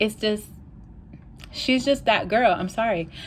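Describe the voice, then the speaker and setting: A woman with a New York accent and ordinary pitch variation. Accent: New York City English. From New York City. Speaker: language learning vlogger. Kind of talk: casual vlog talk. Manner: casual, many filler ums.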